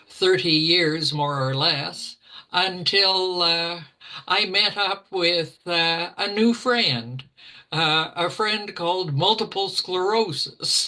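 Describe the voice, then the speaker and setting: A woman talks very slowly with a Canadian Prairies accent, her pitch fairly low. Her pitch varies in an ordinary way, and her loudness stays very even. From Alberta, Canada (rural Ponoka County). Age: 80s+. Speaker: retired teacher with MS. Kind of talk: interview, personal story. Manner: halting, many fillers.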